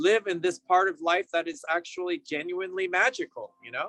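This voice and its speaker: In an American accent, a man with a high pitch uses a raised, projected voice and a bright, sharp tone at a moderate pace with ordinary pitch variation, the sound dry and close with no echo. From San Francisco Bay Area, California. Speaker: yoga and meditation teacher. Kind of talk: interview answer. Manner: casual, warm.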